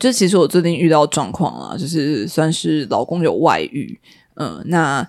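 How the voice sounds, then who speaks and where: At a moderate pace, a woman with vocal fry and a fairly low pitch speaks on a very clean recording with a silent background. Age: 30s. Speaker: media office worker. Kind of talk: casual chat.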